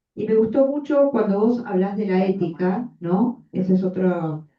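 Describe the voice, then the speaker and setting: Somewhat breathy, a woman speaks at medium pitch with lively intonation. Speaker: psychoanalyst. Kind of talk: audience comment at seminar.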